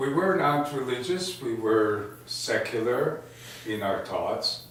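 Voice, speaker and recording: A man's very slow speech, with audible room echo and noticeable background noise. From Poland. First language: Yiddish. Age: 80s+. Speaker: Holocaust survivor. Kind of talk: testimony. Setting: living room gathering with audience. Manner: halting.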